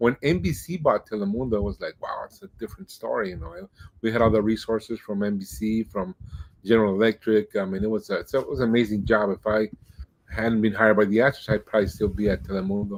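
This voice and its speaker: A man's fairly low voice at a very fast pace, ordinary pitch variation, dry and close with no echo. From Mexico-US border, Nogales and Tucson. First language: Spanish. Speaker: Spanish-language baseball radio broadcaster. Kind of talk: podcast interview.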